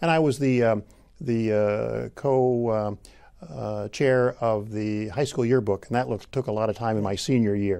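Over a quiet background, a man with a Midwestern US accent speaks at a fairly slow pace, his fairly low voice dark and mellow with ordinary pitch variation. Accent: US Midwest. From Illinois. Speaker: agricultural economics professor. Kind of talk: oral history interview. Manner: halting. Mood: warm, reflective, occasional smiles. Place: studio. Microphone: lapel.

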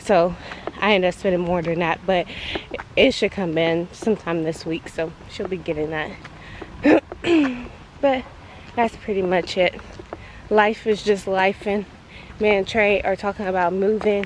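A woman speaks at a moderate pace with fairly even intonation and long, frequent pauses, in a dry sound with no echo over light background noise. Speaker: vlogger. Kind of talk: casual vlog chat. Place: open country. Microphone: phone near.

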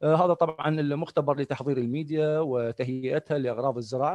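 With a quiet background and a dry sound with no echo, a man of fairly high pitch speaks at a moderate pace with fairly even intonation. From Iraq. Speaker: professor. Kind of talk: lecture. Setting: video call. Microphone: video call.

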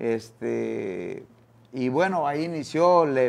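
A man speaks at a fairly high pitch with ordinary pitch variation. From Quintana Roo, Mexico. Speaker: former boxer and boxing coach; guest. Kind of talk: interview. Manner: halting, many fillers and repeated words. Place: studio. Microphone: lapel.

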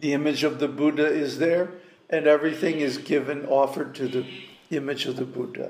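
With audible room echo, a man at a fairly high pitch speaks at a fairly quick pace in monotone, flat intonation. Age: 70s. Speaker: spiritual teacher. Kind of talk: lecture. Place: home room. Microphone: webcam.

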